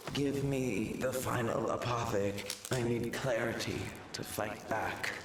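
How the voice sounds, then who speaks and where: Over loud background noise with a slight echo, a man does a cartoonish character voice at a medium pitch and a fairly slow pace. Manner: solemn, archaic.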